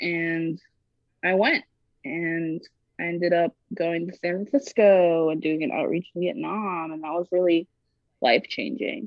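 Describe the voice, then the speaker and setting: Pausing long and often, a woman speaks at a fairly slow pace in a fairly low voice with lively intonation. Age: 20s. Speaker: musician and illustrator. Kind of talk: casual chat.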